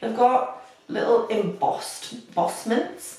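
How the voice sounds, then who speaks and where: A woman with a northeast English accent talks at a fairly high pitch. The room echo is audible, and there is noticeable background noise. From northeast England. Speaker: beauty youtuber. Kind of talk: makeup tutorial. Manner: casual, chatty. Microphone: built-in camera microphone, not great.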